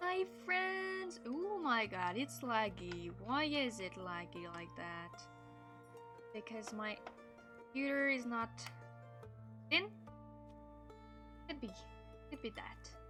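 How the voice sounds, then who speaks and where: A woman talks at a very slow pace with long, frequent pauses. Music plays in the background. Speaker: streamer. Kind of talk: casual live-stream gameplay talk.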